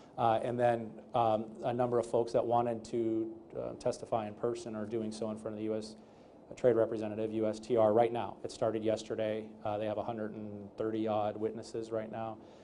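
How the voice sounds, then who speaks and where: A man's medium-pitched, dark, mellow voice at a fairly quick pace, with monotone, flat intonation and audible room echo. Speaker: trade lawyer. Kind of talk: panel interview. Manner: loud; fast with many fillers.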